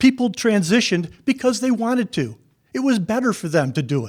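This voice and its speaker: A man with a high pitch and an American accent makes very wide pitch swings on a very clean recording with a silent background. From New York State. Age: 70s. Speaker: public hearing commenter, retired landscape architect. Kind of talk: public comment. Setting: public hearing.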